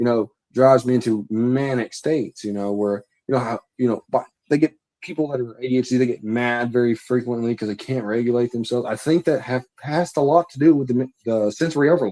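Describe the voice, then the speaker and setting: Dry and close with no echo, a man's medium-pitched voice has a dark, mellow tone and ordinary pitch variation. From Louisiana. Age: 20s. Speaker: guest on a livestream talk show. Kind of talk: casual chat. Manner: halting, trips over words.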